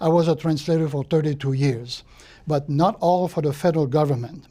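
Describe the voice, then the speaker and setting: A Quebec accent at a moderate pace. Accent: French-Canadian accent in English. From Quebec, Trois-Rivières. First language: French. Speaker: retired translator and volunteer. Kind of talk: life story interview. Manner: hesitant, with fillers.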